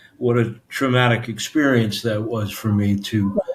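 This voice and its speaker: With a New York accent, a man speaks at a fairly slow pace and a medium pitch. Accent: Brooklyn-like New York. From New York City area, Staten Island. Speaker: author. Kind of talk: interview. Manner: halting, many fillers.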